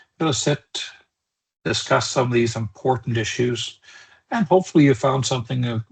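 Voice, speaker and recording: A man speaks with a somewhat breathy voice and ordinary pitch variation, leaving long, frequent pauses. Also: medium pitch for a man, moderate pace. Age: 60s. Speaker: cybersecurity trainer. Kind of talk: webinar lecture. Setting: online webinar. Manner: conversational, with filler words.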